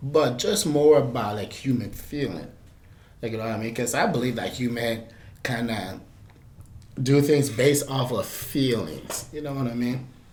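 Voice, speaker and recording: A man speaks at a medium pitch and a fairly slow pace, with lively intonation. Audible room echo surrounds his voice. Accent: American. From Liberia. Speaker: interview guest, college student. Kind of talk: casual interview.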